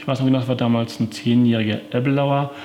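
A man at a very fast pace with medium pitch and fairly even intonation, over noticeable background noise. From Paderborn, Westphalia, Germany. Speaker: whisky merchant and distiller. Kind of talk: interview. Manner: hesitant with frequent fillers.

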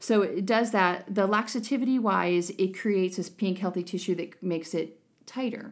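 With a normal speaking voice, a woman speaks at a fairly quick pace and medium pitch with ordinary pitch variation, on a very clean recording with a silent background. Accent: American. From northeastern Ohio. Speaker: nurse injector. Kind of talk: casual chat, interview.

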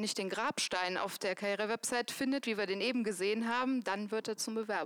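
Her pitch fairly high and her pitch variation ordinary, a woman talks in a normal speaking voice. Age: 30s. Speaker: employer branding manager. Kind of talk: live panel talk. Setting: stage with audience.

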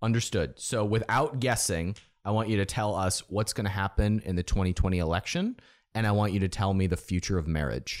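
On a very clean recording with a silent background, a man with an American accent and a plain, everyday voice talks fairly quickly at a fairly low pitch with ordinary pitch variation. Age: 30s. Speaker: podcast host and entrepreneur. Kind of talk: interview conversation.

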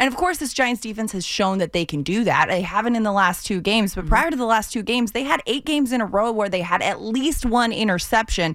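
Her pitch fairly high, a woman rattles along at a very fast pace. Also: hardly any pauses. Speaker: sports TV host. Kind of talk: casual chat. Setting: studio.

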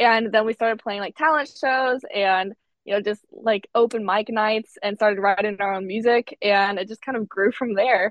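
A woman talks at a moderate pace with hardly any pauses, in an unremarkable speaking voice. Her pitch is fairly high and her intonation fairly even. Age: 20s. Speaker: musician in a sister band. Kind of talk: interview. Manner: casual, filler-heavy.

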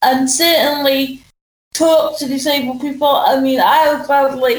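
A woman's high voice at a fairly slow pace, with fairly even intonation and audible room echo. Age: 30s. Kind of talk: testimony.

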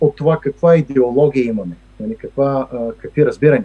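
A man speaks with a dark, mellow tone. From Bulgaria, Stara Zagora. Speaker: economist and federal employee. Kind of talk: interview. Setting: remote recording. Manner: halting with many fillers.

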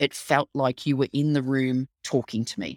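A woman with an Australian accent at a fairly slow pace, in dry, close sound with no echo, on a very clean recording with a silent background. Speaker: storytelling consultant and author. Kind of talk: interview.

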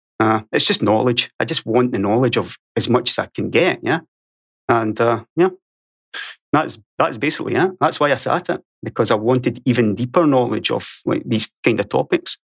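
The sound is dry and close with no echo as a man speaks at a moderate pace. His medium-pitched voice has lively intonation. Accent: Scottish. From Scotland. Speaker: YouTuber and podcaster.

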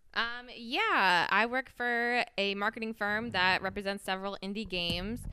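A normal speaking voice from a woman with an American accent, medium pitch, ordinary pitch variation and a moderate pace. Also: hardly any pauses. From Michigan, US Midwest. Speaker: works in games marketing. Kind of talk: casual chat.

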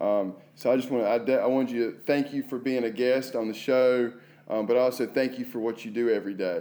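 Speaking in an ordinary speaking voice, a man keeps a medium pitch, a fairly quick pace and fairly even intonation. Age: 30s. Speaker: podcast host and assistant principal. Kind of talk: interview podcast.

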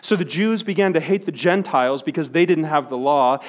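Talking very fast, a man with a fairly high pitch uses ordinary pitch variation. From Wisconsin, Milwaukee. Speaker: pastor. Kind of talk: sermon. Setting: church.

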